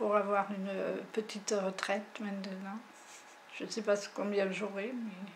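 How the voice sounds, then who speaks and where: A woman's medium-pitched voice, very slow, with long, frequent pauses and monotone, flat intonation, amid noticeable background noise and audible room echo. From French Basque Country. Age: 60s. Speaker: farmer. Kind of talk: testimony. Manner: halting.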